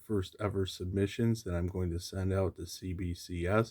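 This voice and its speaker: Quiet and dark, mellow in tone, a man speaks at a moderate pace with fairly even intonation in a very clean recording with a silent background. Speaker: comic collecting youtuber. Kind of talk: casual vlog. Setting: at home late at night. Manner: quiet, low voice.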